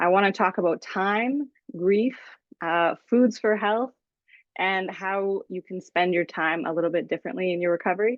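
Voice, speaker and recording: The woman speaks at a medium pitch with ordinary pitch variation. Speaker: social work student presenter. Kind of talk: presentation to a support group. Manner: fast.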